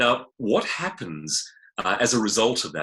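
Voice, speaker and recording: Recorded very cleanly against a silent background, a man with a South African accent speaks at a moderate pace and medium pitch, his bright, sharp tone moving through very wide pitch swings. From South Africa, Johannesburg. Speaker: novelist and public speaker. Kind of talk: interview. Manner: hesitant with fillers.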